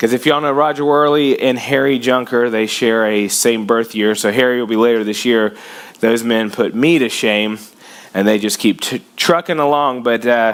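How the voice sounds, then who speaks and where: A man speaks at a medium pitch and moderate pace with fairly even intonation. Noticeable background noise is present. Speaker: pastor. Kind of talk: sermon.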